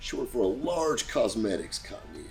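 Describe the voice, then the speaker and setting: A man's fairly brisk delivery runs over music playing behind him. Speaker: used car dealer. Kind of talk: casual talk to camera, storytelling. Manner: casual, conversational, humorous.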